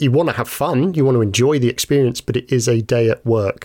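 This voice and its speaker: Fairly quick and fairly even in intonation, a man talks with a British accent. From UK. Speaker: podcast host and woodworker. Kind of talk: casual chat.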